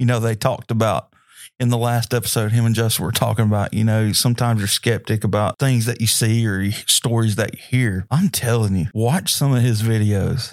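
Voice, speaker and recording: A man's unremarkable speaking voice at a medium pitch and fairly quick pace, with fairly even intonation and very even loudness, recorded dry and close with no echo on a very clean, silent background. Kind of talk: solo podcast sermon-style talk. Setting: home or church room recording. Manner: casual, rambling, filler words.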